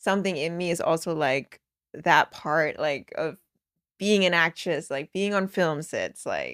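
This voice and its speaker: In a Danish accent, a woman speaks at a fairly slow pace with a fairly low pitch and fairly even intonation. The recording is very clean with a silent background and a dry, close sound with no echo. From Denmark. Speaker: professional soccer player. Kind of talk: casual chat.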